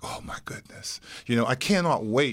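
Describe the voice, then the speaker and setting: An unremarkable speaking voice from a man with an American accent, medium pitch, lively intonation and a moderate pace, on a very clean recording with a silent background. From West Virginia, Wellsburg. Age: 60s. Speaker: small business owner. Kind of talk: interview.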